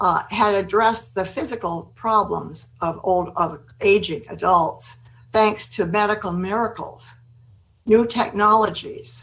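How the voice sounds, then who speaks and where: With an American accent, a woman talks at a fairly slow pace, her lively intonation edged with vocal fry. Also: medium pitch for a woman. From United States. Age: 80s+. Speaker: gerontology expert, former city planner. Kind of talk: webinar presentation. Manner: halting.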